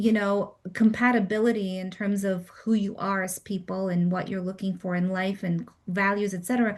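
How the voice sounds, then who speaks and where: A somewhat breathy voice at a moderate pace with ordinary pitch variation over a quiet background. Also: woman. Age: 50s. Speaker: dating coach. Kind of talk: group coaching call.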